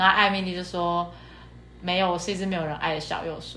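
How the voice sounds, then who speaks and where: Her fairly low voice keeps a fairly even intonation, and audible room echo surrounds this woman. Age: 20s. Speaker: podcast co-host. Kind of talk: casual chat.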